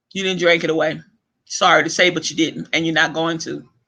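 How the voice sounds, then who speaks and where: Shouting loudly at a fairly quick pace, a man uses a high pitch and a bright, sharp tone that sounds animated. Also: quiet background. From Louisiana. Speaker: online talk show host. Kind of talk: casual rant monologue. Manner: loud, yelling.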